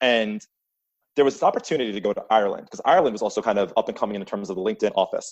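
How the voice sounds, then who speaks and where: A man with a Long Island accent talks at a very fast pace. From US Northeast, Long Island, New York. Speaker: sales leader. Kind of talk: podcast interview.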